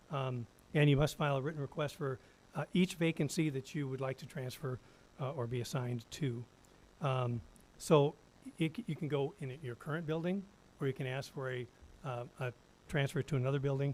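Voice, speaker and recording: At a fairly quick pace with long, frequent pauses, a man sounds somewhat breathy, his fairly high pitch showing ordinary variation. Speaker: school district attorney. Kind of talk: policy presentation at board meeting. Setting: school board meeting. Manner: fast; halting, many fillers.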